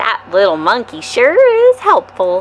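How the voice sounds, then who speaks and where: A woman's put-on character voice, fairly high in pitch, at a moderate pace, with clear background noise. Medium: read story.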